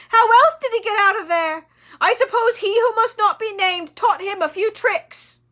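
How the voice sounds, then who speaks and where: A put-on character voice, squeaky and shrill, goes at a moderate pace. The recording is very clean with a silent background. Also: woman, extremely high pitch for a woman. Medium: read story. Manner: cringing, panicky, whining.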